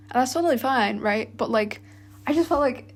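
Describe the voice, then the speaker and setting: Her delivery is very fast. There is a somewhat breathy edge to her voice. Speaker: university student, vlogger. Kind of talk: casual monologue vlog. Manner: casual, many fillers.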